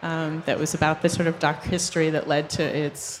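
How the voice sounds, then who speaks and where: Against noticeable background noise, a woman with an American accent talks at a fairly slow pace and a fairly low pitch. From South Florida. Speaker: artist. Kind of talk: panel discussion.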